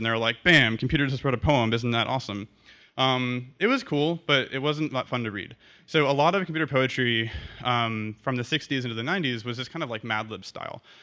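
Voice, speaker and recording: A man talks at a very fast pace. His medium pitch shows ordinary variation. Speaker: programmer and poet giving a conference talk. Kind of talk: conference talk. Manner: hesitant, many ums.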